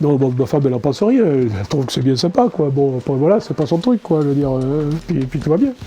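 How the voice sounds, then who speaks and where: Noticeable background noise is present. Over it, the words come at a fairly quick clip. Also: man. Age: 60s. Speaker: model train hobbyist. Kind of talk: interview. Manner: halting.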